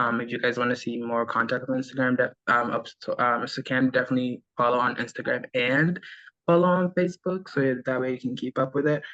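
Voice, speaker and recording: Against a quiet background, a man talks at a fairly quick pace in a bright, sharp tone. His medium pitch shows ordinary variation. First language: not English. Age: young. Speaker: social media manager for a food business. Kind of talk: work meeting update on video call. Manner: hesitant, many fillers.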